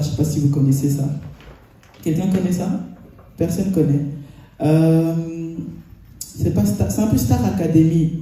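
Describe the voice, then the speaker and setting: In a room with audible echo and noticeable background noise, a man speaks at a fairly high pitch and a moderate pace, with long, frequent pauses. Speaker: preacher. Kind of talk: sermon.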